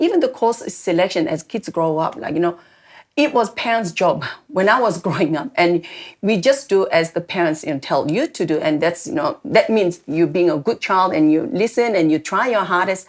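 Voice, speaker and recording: A woman with a Korean accent speaks at a moderate pace with very wide pitch swings on a very clean recording with a silent background. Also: medium pitch for a woman. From South Korea. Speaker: immigrant parent. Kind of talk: church panel conversation.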